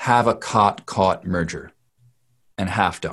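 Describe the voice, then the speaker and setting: A man with an American accent at a very slow pace against a quiet background. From US Northeast. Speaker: dialect coach. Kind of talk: interview. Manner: halting, many fillers.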